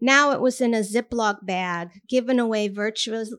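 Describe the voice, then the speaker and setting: A woman with an American accent and a fairly high pitch speaks fairly slowly with ordinary pitch variation, in a normal speaking voice. The recording is very clean, with a silent background. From Armenian American. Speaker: writer and teacher. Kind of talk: reading aloud; casual anecdote. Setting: bar reading event with audience.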